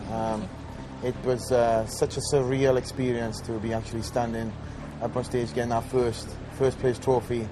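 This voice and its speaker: Medium-pitched male voice against noticeable background noise. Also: fairly even intonation, moderate pace. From Wales. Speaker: professional bodybuilder. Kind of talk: video diary. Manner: hesitant, many fillers.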